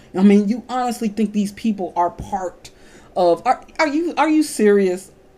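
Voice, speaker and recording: With music in the background, a woman at medium pitch speaks at a moderate pace in an animated tone with lively intonation. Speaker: video blogger. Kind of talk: rant. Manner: halting.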